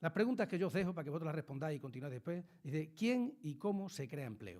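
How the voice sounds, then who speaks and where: A very fast-paced male voice, fairly high for a man, with lively intonation. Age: 60s. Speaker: politician. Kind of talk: talk to school students.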